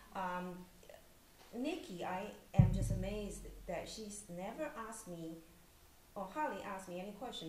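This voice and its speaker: Loud background noise fills the recording. A woman talks through it. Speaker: novelist. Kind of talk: panel discussion. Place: hall. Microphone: podium.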